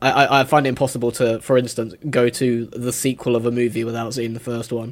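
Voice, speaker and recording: Here a man speaks with a British accent at a fairly quick pace. His medium-pitched voice stays in a flat monotone. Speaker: YouTube film reviewer. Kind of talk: casual chat. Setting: remote call.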